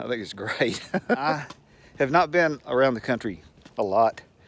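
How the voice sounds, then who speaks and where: An animated man with lively intonation and a Southern US accent. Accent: Southern US drawl. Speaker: retiree. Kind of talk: casual talk to camera. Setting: outdoors. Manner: rambling, animated.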